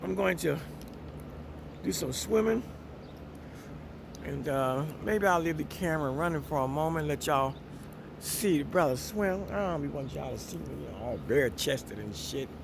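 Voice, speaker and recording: This man has a fairly high voice for a man and lively intonation, speaking at a moderate pace in a relaxed tone with long, frequent pauses and audible room echo. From Miami, Florida. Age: 60s. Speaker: vlogger. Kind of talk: casual vlog talk. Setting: outdoors by a pool.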